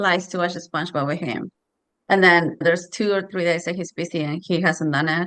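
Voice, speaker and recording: Bright, sharp speech in a Spanish accent moves along at a fairly quick pace. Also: woman. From Mexico. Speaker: parent. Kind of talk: casual chat.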